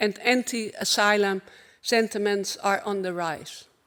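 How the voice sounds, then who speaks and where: A woman speaks at a fairly slow pace in a Dutch accent, her pitch fairly high with ordinary variation. The recording is very clean, with a silent background. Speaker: LGBTI advocacy organization speaker. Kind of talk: conference keynote speech. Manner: formal.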